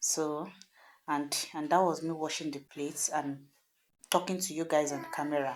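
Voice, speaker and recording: A woman with a southwestern Nigerian accent speaks at a very deep, low pitch and a moderate pace. Her intonation is monotone and flat, and the recording is very clean with a silent background. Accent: Nigerian Yoruba-accented English. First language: Yoruba. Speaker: cooking vlogger. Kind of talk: casual voiceover narration of cooking video. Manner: hesitant, informal.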